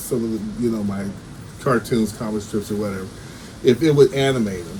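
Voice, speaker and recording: Lively intonation from a man, with noticeable background noise behind. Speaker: writer and cartoonist. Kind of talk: casual video update. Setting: home recording, no soundproof studio. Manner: stammering; halting, many fillers and repeats.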